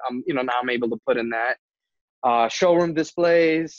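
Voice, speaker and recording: The sound is dry and close, without any echo. A man talks at a moderate pace. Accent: New Jersey. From New Jersey. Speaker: entrepreneur, kitchen and bath contractor. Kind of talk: casual interview chat.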